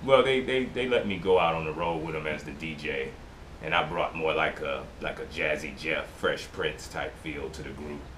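At a moderate pace, a man with an American accent and a very deep, low pitch uses lively intonation over light background noise. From US Midwest. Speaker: DJ. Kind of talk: recorded interview. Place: home room. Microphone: camera far.

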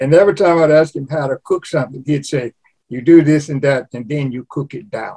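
A man with a fairly high pitch and a dark, mellow tone speaks somewhat breathily at a fairly quick pace. His loudness swings widely against a quiet background. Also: ordinary pitch variation. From Louisiana. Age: 80s+. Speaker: cookbook author; guest. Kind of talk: interview. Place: home room. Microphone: video call.

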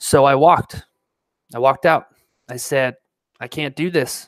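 A General American accent at a moderate pace, with fairly even intonation, a dry sound with no echo, and a quiet background. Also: man. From Colorado, Denver; Colorado. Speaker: pilot and video creator; video creator. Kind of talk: live stream talk. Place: home room. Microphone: headset.

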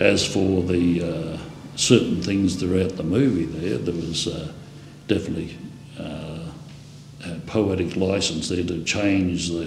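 At a fairly slow pace, a man with a low pitch and a slightly mellow tone speaks with fairly even intonation and vocal fry, with audible room echo.

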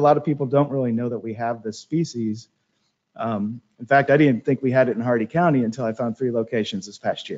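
Talking very fast, a man at medium pitch uses ordinary pitch variation and big swings in loudness. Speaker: professor, weed scientist; professor. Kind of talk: webinar lecture. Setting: webinar. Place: office.

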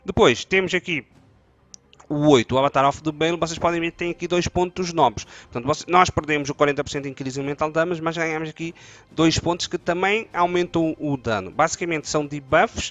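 A man with a fairly high pitch speaks at a moderate pace with ordinary pitch variation, the sound dry with no echo. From Portugal. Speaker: gaming youtuber. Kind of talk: tutorial. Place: home room. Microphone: headset.

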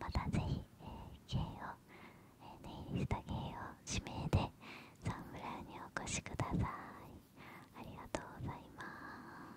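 A soft-spoken woman whispers at a fairly slow pace. There is noticeable background noise. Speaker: ASMR creator playing nail salon staff. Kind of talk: roleplay shop talk. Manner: soft close-mic ASMR whisper. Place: home room. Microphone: studio mic.

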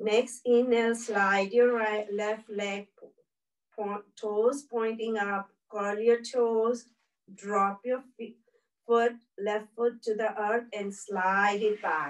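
A woman with a fairly high pitch speaks very slowly in a calm, soothing tone and monotone, flat intonation, with a quiet background. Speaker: yoga instructor. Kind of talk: guided chair yoga class with breathing cues. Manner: calm, slow, soothing, cue-by-cue instruction. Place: home room. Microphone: camera far.

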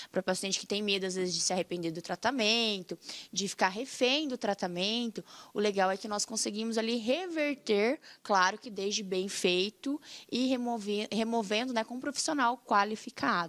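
Ordinary pitch variation and a moderate pace from a woman with a fairly high pitch. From Paraná, Brazil. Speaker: dentist. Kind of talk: casual interview. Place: studio. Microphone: studio mic.

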